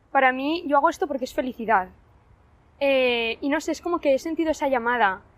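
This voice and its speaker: This woman has a high pitch and talks at a fairly quick pace. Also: ordinary pitch variation. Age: young. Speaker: university student volunteer. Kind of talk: testimony.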